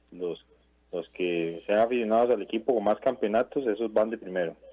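Here a man speaks in a fairly low pitch at a moderate pace. His pitch variation is ordinary. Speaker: caller. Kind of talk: phone-in call. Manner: halting.

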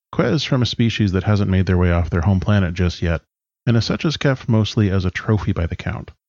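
Speaking with a Canadian accent, a man has an ordinary speaking voice, a fairly low pitch and ordinary pitch variation. His pace is fairly quick, on a very clean recording with a silent background. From British Columbia, Canada. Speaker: tabletop role-playing podcaster. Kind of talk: prepared interview answers.

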